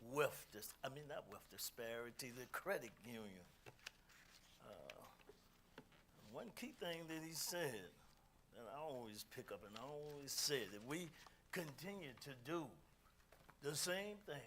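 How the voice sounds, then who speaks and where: A man speaks at a fairly slow pace with lively intonation. There is audible room echo, and his pauses are long and frequent. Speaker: speaker, musician. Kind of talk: talk to audience. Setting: community meeting hall, streamed on Zoom. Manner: loud.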